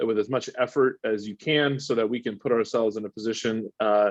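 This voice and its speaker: A man at a medium pitch with fairly even intonation, recorded with a dry, close sound, no echo and a quiet background. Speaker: water polo organization director. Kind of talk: webinar presentation. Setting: video call. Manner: fast.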